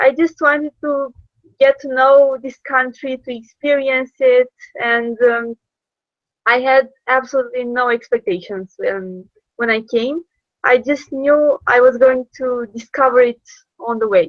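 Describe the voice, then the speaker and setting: A woman's high voice with ordinary pitch variation, at a fairly slow pace. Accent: Romanian. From Romania, Iași. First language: Romanian. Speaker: former intern abroad. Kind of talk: interview. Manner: hesitant, many fillers.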